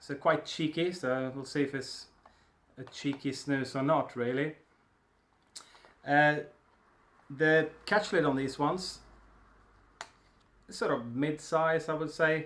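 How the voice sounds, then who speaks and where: A man with a Swedish accent speaks at a very slow pace and fairly high pitch, with fairly even intonation and long, frequent pauses. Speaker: snus reviewer. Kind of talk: product review. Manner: casual, hesitant with fillers.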